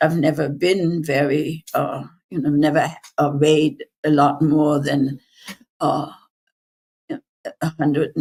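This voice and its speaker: A woman's very deep, low voice at a very slow pace in monotone, flat intonation. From Germany. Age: 80s+. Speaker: Holocaust survivor and activist. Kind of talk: interview answer. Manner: hesitant, halting.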